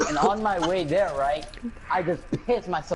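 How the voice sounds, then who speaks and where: Against noticeable background noise, a man speaks in a high pitch with ordinary variation. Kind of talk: casual chat. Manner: halting.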